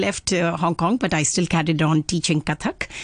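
A woman with an Indian accent talks at a moderate pace in a fairly low pitch, with a dry, close sound and no echo. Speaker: Kathak dancer and dance academy founder. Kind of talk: casual interview. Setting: studio.

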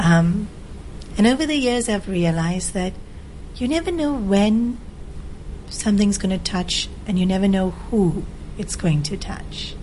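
Over noticeable background noise, a woman with a medium pitch and lively intonation speaks at a fairly slow pace with long, frequent pauses. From Australia. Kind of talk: interview.

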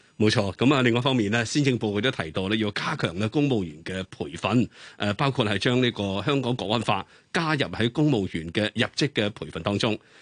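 A man with an unremarkable speaking voice, fairly low pitch, lively intonation, a fairly quick pace and hardly any pauses, in a dry, close sound with no echo over a quiet background. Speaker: radio co-host. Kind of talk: radio interview. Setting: studio.

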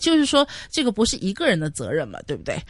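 This woman talks at a very fast pace. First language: Cantonese (speaking Chinese). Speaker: radio host. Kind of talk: casual chat.

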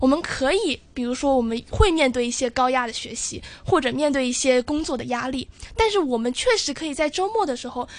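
Noticeable background noise surrounds a woman's high-pitched voice. Her intonation is lively and her pace fairly quick. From Zhuhai, Guangdong. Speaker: university student debater. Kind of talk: radio interview.

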